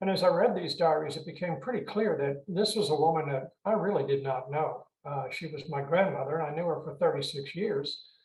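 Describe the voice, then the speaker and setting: With an American accent, a man talks at a fairly quick pace with hardly any pauses. His pitch variation is ordinary, and the room echo is audible. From Richmond, Virginia, US South. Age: 70s. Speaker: author, retired mental health clinician. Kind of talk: interview. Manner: halting with many fillers.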